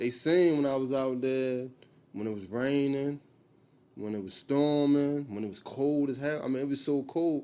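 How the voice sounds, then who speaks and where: A man with a Baltimore accent speaks at a moderate pace and a medium pitch. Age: 30s. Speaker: clothing brand owner. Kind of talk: casual interview. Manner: casual, repetitive filler phrases.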